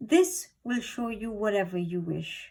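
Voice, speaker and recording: A woman uses a put-on character voice. Her pitch is fairly high and her pace fairly slow. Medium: read story.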